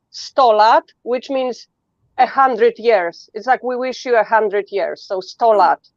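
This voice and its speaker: In a Polish accent, a woman speaks at a high pitch and a fairly slow pace. The sound is dry and close, with no echo. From Poland. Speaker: guest. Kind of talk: casual chat.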